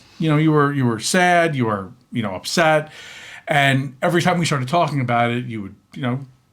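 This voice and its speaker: On a very clean recording with a silent background, a man with a fairly high pitch speaks at a fairly quick pace, animated in tone and lively in intonation. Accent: New York. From New York. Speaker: podcast co-host. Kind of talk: casual chat. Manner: loud.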